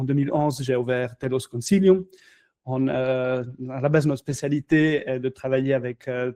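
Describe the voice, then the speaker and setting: A man with a non-native accent speaks at a moderate pace in a fairly high, dark and mellow voice with ordinary pitch variation. The sound is dry and close with no echo, and the background is quiet. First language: not French (speaking French). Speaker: crypto company founder. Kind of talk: casual interview. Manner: halting, many fillers.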